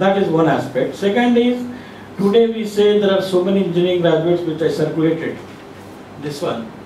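There is audible room echo and light background noise as a man speaks at a high pitch. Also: ordinary pitch variation, fairly quick pace. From India, Telangana. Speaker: civil society activist. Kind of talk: panel discussion. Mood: critical, earnest. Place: meeting room.

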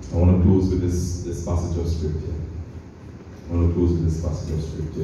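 With light background noise and strong room echo, a man speaks at a very deep, low pitch. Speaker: preacher. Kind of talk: sermon. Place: church.

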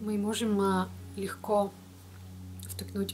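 Light background noise under a woman talking. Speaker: care vlogger. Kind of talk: tutorial. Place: home room. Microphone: webcam.

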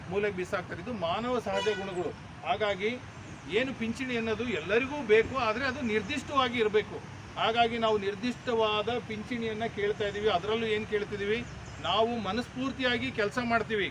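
Against noticeable background noise, a man speaks at a high pitch with fairly even intonation. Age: 50s. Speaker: government doctor and union speaker. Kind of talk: protest speech.

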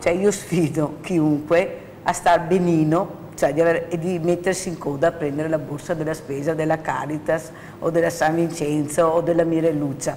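A woman's fairly low-pitched voice at a moderate pace, with light background noise. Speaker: charity fund organizer and field presenter; presenter. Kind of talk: emotional appeal on TV talk show. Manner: animated. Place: studio. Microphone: lapel.

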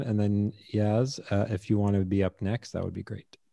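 Against a quiet background, a man with a dark, mellow tone speaks at a moderate pace. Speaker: podcast host. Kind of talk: interview. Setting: video call. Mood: relaxed, conversational. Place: home room. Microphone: studio mic.

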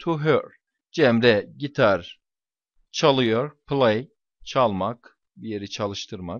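Ordinary pitch variation marks this man's speech. He talks at a very slow pace. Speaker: English teacher. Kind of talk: lecture. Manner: hesitant fillers.

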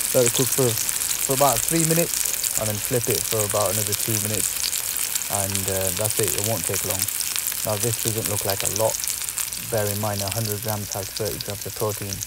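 Over loud background noise, a man talks at a moderate pace with ordinary pitch variation, the sound dry with no echo. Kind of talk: casual cooking tutorial. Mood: relaxed, upbeat. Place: kitchen. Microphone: phone near.

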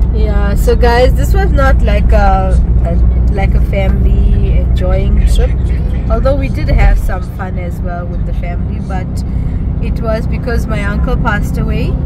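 A woman speaks at a fairly slow pace. The sound is dry with no echo, under loud background noise. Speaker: vlogger passenger. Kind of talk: casual vlog chat. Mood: subdued, explaining a funeral. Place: car.

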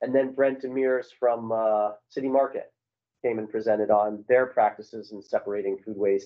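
A man at a moderate pace, fairly even intonation, quiet background. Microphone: video call.

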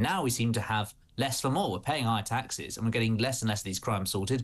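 A man speaks at a very fast pace in a somewhat breathy voice. His pitch varies in an ordinary way. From UK. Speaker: political journalist. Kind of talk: panel discussion. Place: home room. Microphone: phone near.

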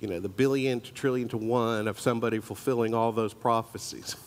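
The speaker is a man. His delivery stays monotone and flat. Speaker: church teacher. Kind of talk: sermon. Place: church.

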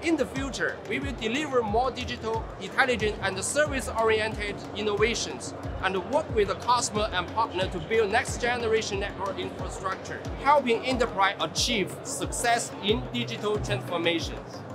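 Clear music plays behind a man speaking at a moderate pace. He leaves hardly any pauses. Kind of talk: interview answer. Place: hall. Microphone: lapel.

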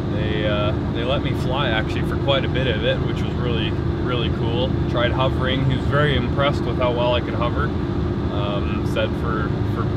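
Loud background noise surrounds a man who speaks at a fairly quick pace. His ordinary pitch variation comes through a dry sound with no echo. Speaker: vlogger. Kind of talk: casual vlog chat. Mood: upbeat, reflective. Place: car.

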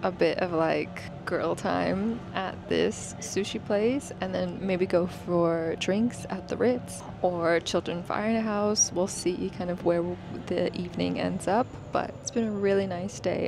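A woman at a fairly slow pace, dry sound with no echo, noticeable background noise behind her. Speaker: vlogger. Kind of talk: casual vlog chat. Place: car. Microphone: lapel.

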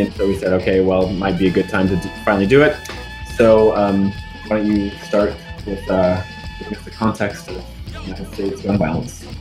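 Clear music plays behind a man whose voice is fairly low in pitch. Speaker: podcast host. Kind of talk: podcast interview introduction. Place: office. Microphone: webcam.

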